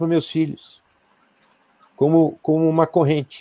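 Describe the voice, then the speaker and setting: A man with a dark, mellow tone and fairly high pitch speaks at a fairly slow pace, the sound dry and close with no echo. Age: 60s. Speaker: spiritual leader. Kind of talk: live-stream interview. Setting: live video stream. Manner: halting, many fillers.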